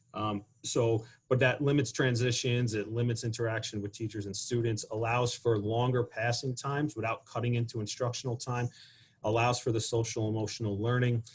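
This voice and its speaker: A man speaks fairly quickly at a medium pitch in a monotone, flat way. His voice is somewhat breathy. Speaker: school administrator. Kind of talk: panel presentation. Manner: fast.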